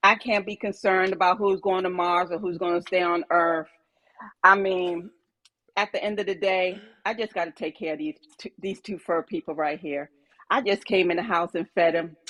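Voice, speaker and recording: A woman with an unremarkable speaking voice of medium pitch talks at a moderate pace with ordinary pitch variation, the sound dry and close with no echo. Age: 50s. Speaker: caller. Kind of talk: casual chat.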